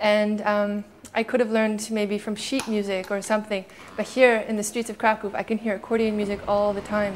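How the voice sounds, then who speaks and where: Speaking at a fairly quick pace, a woman with a Canadian accent keeps a fairly high pitch in a monotone, flat intonation. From Canada. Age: 30s. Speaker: street accordionist. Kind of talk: documentary interview monologue.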